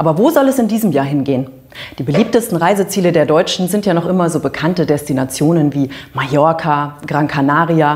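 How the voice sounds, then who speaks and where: A woman speaking at a moderate pace, fairly low in pitch, with ordinary pitch variation. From Hesse, Germany. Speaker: TV presenter. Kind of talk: TV magazine presenting. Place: studio.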